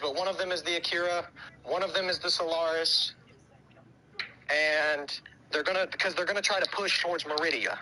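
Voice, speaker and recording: A man speaks with an American accent at a high pitch, keeping his intonation fairly even over noticeable background noise. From US South. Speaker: gaming streamer. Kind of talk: casual chat.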